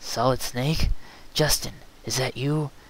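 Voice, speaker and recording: A man's mumbling put-on character voice at a medium pitch and fairly slow pace, over clear background noise. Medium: read story. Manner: mumbling, repetitive.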